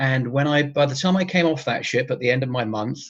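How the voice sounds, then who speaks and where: A somewhat breathy man's fairly high voice with an English accent. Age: 60s. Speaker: retired cruise ship photographer. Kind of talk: interview.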